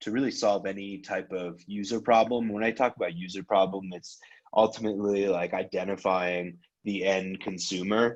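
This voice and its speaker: A man in a normal speaking voice talks at a moderate pace with a fairly low pitch and ordinary pitch variation, against a quiet background. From Iran, moved to US as a child, grew up in Connecticut. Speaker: startup investor and workshop presenter. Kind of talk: workshop presentation.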